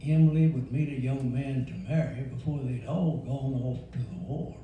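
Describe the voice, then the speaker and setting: Amid noticeable background noise and audible room echo, a man with a Louisiana accent speaks at a fairly slow pace. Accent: Southern US (Louisiana). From Louisiana, rural. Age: 80s+. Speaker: elder storyteller. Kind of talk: storytelling.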